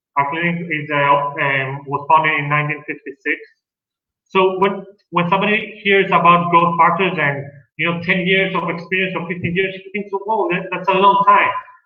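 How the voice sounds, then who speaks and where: Audible room echo surrounds a man speaking high in pitch at a moderate pace with fairly even intonation. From Greece. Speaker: dentist. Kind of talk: lecture.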